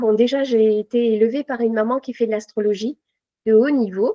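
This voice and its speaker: A woman keeps her intonation fairly even while speaking at a moderate pace. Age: 60s. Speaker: tarot reader and numerologist. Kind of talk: interview. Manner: halting.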